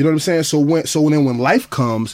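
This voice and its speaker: Speaking with a New Orleans accent, a man uses a fairly high pitch and ordinary pitch variation. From US South, New Orleans. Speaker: rapper. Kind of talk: casual chat. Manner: animated.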